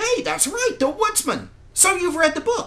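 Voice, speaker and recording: A put-on character voice, squeaky and extremely high in pitch, at a moderate pace. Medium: cartoon. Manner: calm, matter-of-fact.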